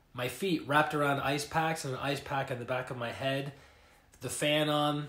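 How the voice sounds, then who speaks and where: Noticeable background noise runs under a man's fairly high voice. He speaks at a moderate pace in a monotone, flat intonation. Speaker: life coach and energy healer. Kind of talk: casual livestream talk. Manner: hesitant, filler words.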